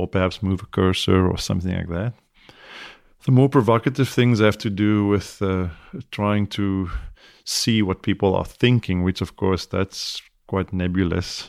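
A man with a South African accent speaks at a fairly low pitch and moderate pace, keeping his intonation fairly even. The sound is dry and close with no echo, on a very clean recording with a silent background. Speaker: neurosurgeon. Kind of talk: interview conversation.

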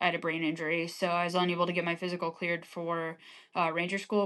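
Against a quiet background, a voice speaks with an American accent. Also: woman. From US small town. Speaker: army officer. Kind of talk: interview.

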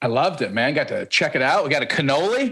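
The man's voice has a bright, sharp tone. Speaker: podcast co-host. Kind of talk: casual chat. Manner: animated.

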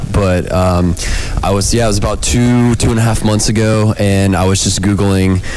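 Flat, monotone speech with very even loudness and hardly any pauses plays amid noticeable background noise and audible room echo. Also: man, fairly low pitch for a man, moderate pace. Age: 20s. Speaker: retreat participant. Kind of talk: interview. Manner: halting.

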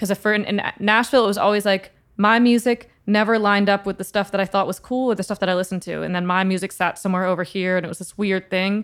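A woman with an American accent talks at a very fast pace in a monotone, flat delivery at medium pitch. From Texas, San Antonio. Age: 20s. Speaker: singer-songwriter. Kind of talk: casual chat.

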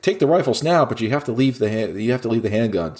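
Using a plain, everyday voice, a man speaks at medium pitch with lively intonation. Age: 40s. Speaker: movie podcast co-host. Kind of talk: casual chat.

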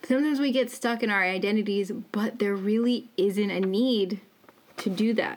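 Amid noticeable background noise, a woman with a fairly high pitch keeps very even loudness and ordinary pitch variation. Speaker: self-help podcaster. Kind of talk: motivational talk. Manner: slow.

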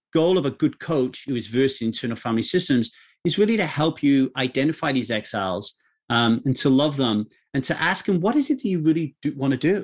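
Against a quiet background, a man with a Welsh accent talks at a fairly quick pace, his fairly high voice lively in intonation. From South Wales. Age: 40s. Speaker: poker coach. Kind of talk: casual chat.

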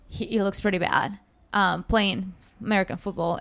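This is a woman's voice. She talks with a Spanish accent. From Mexico. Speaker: fitness influencer. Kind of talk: casual chat.

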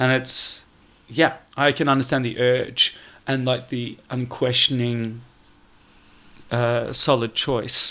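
Very slow, flat monotone from a man with a British accent, medium in pitch, bright and sharp in tone, with long, frequent pauses. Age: 20s. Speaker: performer. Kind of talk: casual chat.

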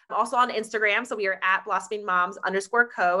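There is noticeable background noise as a woman talks at a medium pitch with ordinary pitch variation. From Alaska, south of Anchorage. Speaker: occupational therapist and mom podcaster. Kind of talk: casual interview chat.

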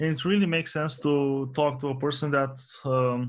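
Over a quiet background, a man with a Romanian accent speaks at a fairly slow pace. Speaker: podcast host. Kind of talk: interview.

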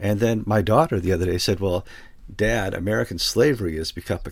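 A man with a fairly low pitch and ordinary pitch variation speaks at a fairly quick pace in a somewhat breathy voice, on a very clean recording with a silent background. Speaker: podcast host. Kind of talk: casual chat.

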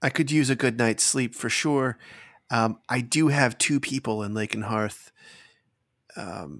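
Speaking in a put-on character voice, a raspy man with a medium pitch talks at a fairly slow pace with long, frequent pauses, on a very clean recording with a silent background. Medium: actual play. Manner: measured, evasive.

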